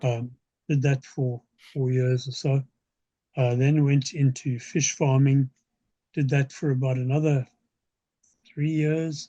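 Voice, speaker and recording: A man speaks fairly slowly and somewhat breathily in a dark, mellow, monotone voice, with very even loudness, long and frequent pauses, and a dry, close sound with no echo. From South Africa. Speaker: science fiction author. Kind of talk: interview answer.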